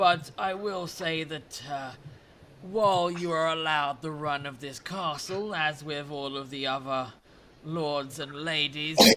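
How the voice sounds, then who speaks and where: A put-on character voice from a man, fairly high in pitch and fairly slow in pace, over clear background noise. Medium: actual play. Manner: formal, condescending.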